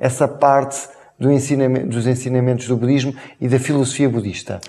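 A man with a European Portuguese accent talks at a fairly quick pace. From Portugal. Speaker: interview show host; talk show host. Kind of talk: interview. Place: studio. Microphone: lapel.

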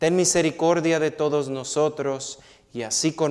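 A man's solemn tone at a fairly slow pace, over a quiet background. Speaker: priest. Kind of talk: priest homily and mass liturgy. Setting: church. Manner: solemn, measured, reverent liturgical delivery; warm, direct address to congregation. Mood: solemn, measured. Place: church. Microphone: lapel.

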